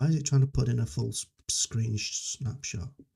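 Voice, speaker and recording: With a dark, mellow tone and a somewhat breathy quality, a man talks at a moderate pace in a dry, close sound with no echo. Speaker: software developer live streamer. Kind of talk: live coding stream, casual chat. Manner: halting, many fillers and restarts. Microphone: noise cancelling software, levels reset, videos quiet.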